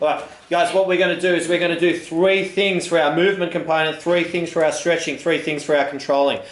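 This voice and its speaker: A man talks very fast in a high voice, with hardly any pauses and very even loudness. Noticeable background noise and audible room echo fill the recording. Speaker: fitness instructor. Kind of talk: guided exercise class instruction. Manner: upbeat, energetic.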